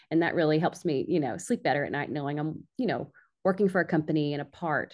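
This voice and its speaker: A woman with an American accent talks at a very fast pace. Her pitch is very deep and low, with ordinary variation. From Arkansas, US South. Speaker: marketing executive. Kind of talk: interview.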